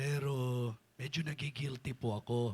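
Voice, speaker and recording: On a very clean recording with a silent background, a man speaks in a somewhat breathy medium pitch with fairly even intonation. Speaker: bishop and preacher. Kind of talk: sermon.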